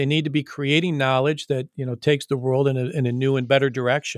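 On a very clean recording with a silent background and a dry, close sound with no echo, a man with an Upper Midwest accent and medium pitch talks at a fairly quick pace with ordinary pitch variation. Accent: Upper Midwest American. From Michigan, East Lansing. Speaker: college president. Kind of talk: interview. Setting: call.

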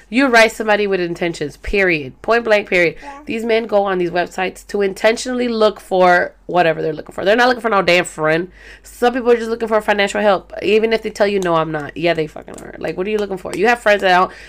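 Loud and animated, a woman with an American accent talks at a very fast pace with hardly any pauses, her medium pitch showing ordinary variation. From Salvadoran family, US. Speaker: podcast host. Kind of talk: casual monologue. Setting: home recording.

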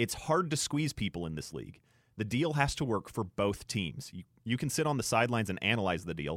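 A man with an unremarkable speaking voice, lively intonation and a fairly quick pace, in a dry, close sound with no echo on a very clean recording with a silent background. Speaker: radio sports co-host. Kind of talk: casual radio sports banter. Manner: laid-back, conversational.

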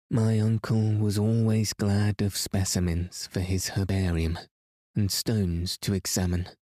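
In a very clean recording with a silent background and a dry, close sound with no echo, a man speaks in a soothing, calm, dark and mellow tone at a fairly low pitch and a fairly slow pace, with fairly even intonation and very even loudness. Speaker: sleep story narrator. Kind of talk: reading aloud, sleep story narration. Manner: soothing, calm, slow.

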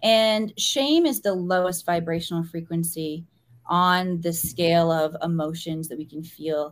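A normal speaking voice with an American accent, at a fairly slow pace. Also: woman, fairly low pitch for a woman, ordinary pitch variation. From US Midwest, small-town Missouri. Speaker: spiritual teacher. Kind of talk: podcast interview.

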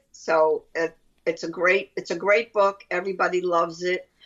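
A woman speaks with a Brooklyn accent in a fairly low pitch. Her intonation is monotone and flat. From Brooklyn, New York. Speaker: author. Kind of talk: casual chat.

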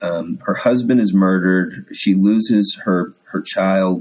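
A man is speaking. He has a Texas accent. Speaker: Episcopal priest. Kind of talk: casual interview chat.

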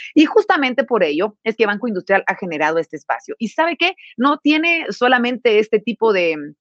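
Her voice fairly high, a woman speaks with very wide pitch swings in a dry, close sound with no echo. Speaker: webinar host. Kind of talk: sponsored livestream hosting. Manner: formal.

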